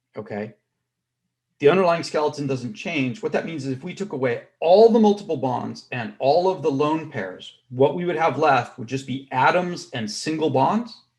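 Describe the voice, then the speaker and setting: A fairly high-pitched, somewhat breathy man talks at a moderate pace with lively intonation and big swings in loudness. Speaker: chemistry professor. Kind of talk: lecture.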